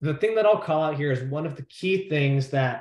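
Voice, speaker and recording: A somewhat breathy man's voice with an American accent at a fairly quick pace. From New York. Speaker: sales expert and former debater. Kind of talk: presentation talk. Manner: fast.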